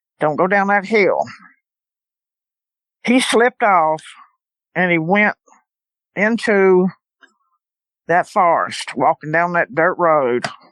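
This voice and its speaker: A woman speaks very slowly at a medium pitch, with long, frequent pauses and ordinary pitch variation. Her loudness stays very even, and the sound is dry and close with no echo. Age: 70s. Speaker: eyewitness guest. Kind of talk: testimony.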